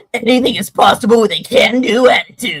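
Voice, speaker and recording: A female-sounding voice is heard. It is a put-on character voice with a fairly high pitch. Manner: cheerful, can-do.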